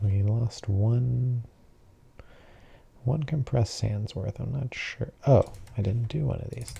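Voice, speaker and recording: At a very slow pace, the speaker is soft-spoken with a calm tone. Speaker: gaming sleep-content creator. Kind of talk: relaxed gameplay commentary for sleep. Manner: soft-spoken, calm, unhurried.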